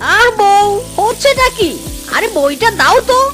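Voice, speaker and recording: Clear music plays in the background. Over it, a cartoonish character voice speaks at a moderate pace. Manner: prim, lecturing.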